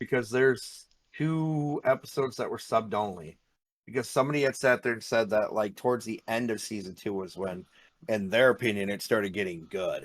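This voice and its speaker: A man talks at a fairly quick pace in a medium pitch with ordinary pitch variation. It's a normal speaking voice in a very clean recording with a silent background. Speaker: anime podcast host. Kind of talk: casual chat.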